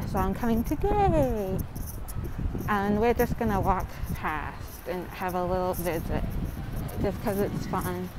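A woman talks at a fairly slow pace with long, frequent pauses and ordinary pitch variation. Loud background noise surrounds her dry, echo-free sound. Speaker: vlogger. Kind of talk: casual vlog chat. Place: street. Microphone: earbuds.

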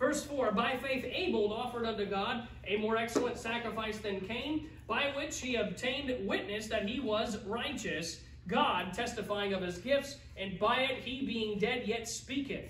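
A man with an extremely high pitch talks at a moderate pace with hardly any pauses and ordinary pitch variation. Light background noise and audible room echo can be heard. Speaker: pastor. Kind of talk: sermon. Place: church. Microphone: camera far.

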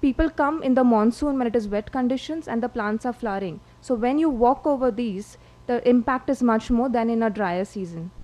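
A woman speaks at a fairly quick pace in a high pitch, her tone dark and mellow, with ordinary pitch variation. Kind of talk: lecture. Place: hall.

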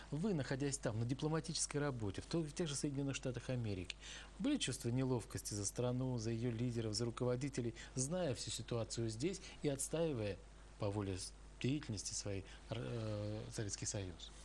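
Light background noise sits behind a man's voice. He speaks at a moderate pace. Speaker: TV host. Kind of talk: live TV interview. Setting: studio. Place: studio.

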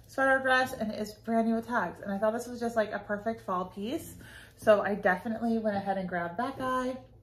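A woman's somewhat breathy voice keeps fairly even intonation as she speaks fairly quickly. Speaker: clothing reseller. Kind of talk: casual vlog chat. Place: home room. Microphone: phone near.

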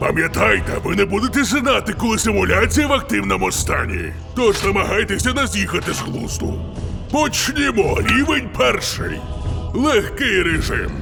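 A man puts on a character voice at a moderate pace. Loud music plays in the background. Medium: fan dub. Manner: theatrical, fanatical.

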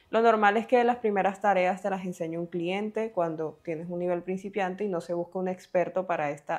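A woman talks with ordinary pitch variation. The background is quiet. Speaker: online career educator. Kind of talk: scripted narration. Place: home room. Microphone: lapel.

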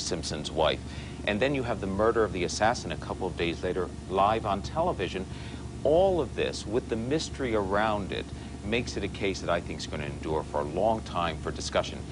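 This man has a very deep, low pitch and a fairly quick pace. Noticeable background noise is present. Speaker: guest. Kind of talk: interview answer. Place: studio. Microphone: lapel.

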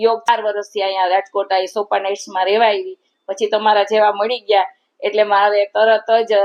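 Her pitch medium, a woman speaks with monotone, flat intonation. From Gujarat, Porbandar. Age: 60s. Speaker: retired teacher. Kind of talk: interview.

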